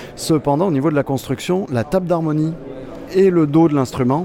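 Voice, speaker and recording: A man's fairly high voice at a moderate pace, with ordinary pitch variation and noticeable background noise. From France. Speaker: luthier. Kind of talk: trade show interview. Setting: guitar trade show.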